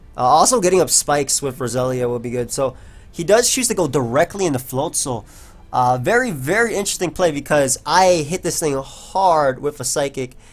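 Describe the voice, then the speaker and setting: A normal speaking voice from a man, fairly high-pitched, with lively intonation and a fairly quick pace. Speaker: gaming commentator. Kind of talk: live gameplay commentary. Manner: casual, filler-heavy.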